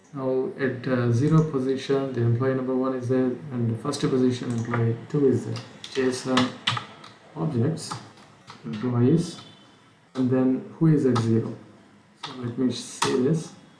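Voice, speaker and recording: Amid noticeable background noise and audible room echo, a man speaks at a medium pitch and a fairly slow pace, with fairly even intonation and long, frequent pauses. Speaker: programming instructor. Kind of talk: tutorial. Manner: hesitant, many fillers; slurred speech.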